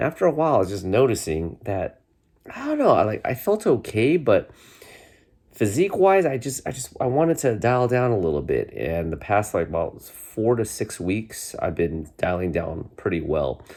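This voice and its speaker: Using vocal fry and very wide pitch swings, a man speaks at a moderate pace. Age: 40s. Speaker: vlogger. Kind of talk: casual chat. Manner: halting.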